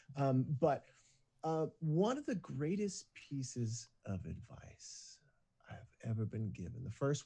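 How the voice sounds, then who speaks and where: A man talks at a fairly slow pace in a somewhat breathy voice with a dark, mellow tone and very wide pitch swings. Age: 40s. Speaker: singer turned business coach. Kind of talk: casual interview chat. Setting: video call.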